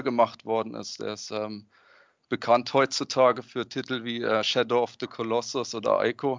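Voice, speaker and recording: Flat, monotone intonation from a man, fairly slow in pace. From Freiburg, southwestern Germany. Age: 30s. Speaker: product designer and hobby game developer. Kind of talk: podcast interview. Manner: hesitant, many fillers.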